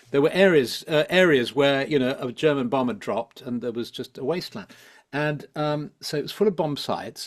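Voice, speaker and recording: A man with a London accent speaks at a fairly quick pace, his fairly high pitch rising and falling in lively intonation. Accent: southern English (London). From London, England. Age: 70s. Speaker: psychologist and spiritual teacher. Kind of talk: interview conversation. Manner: hesitant, many fillers and repetitions.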